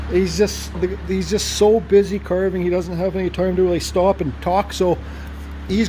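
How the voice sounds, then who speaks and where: Light background noise sits under a man talking at a moderate pace. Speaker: visiting wood carver vlogger. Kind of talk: casual vlog chat. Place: workshop. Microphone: phone near.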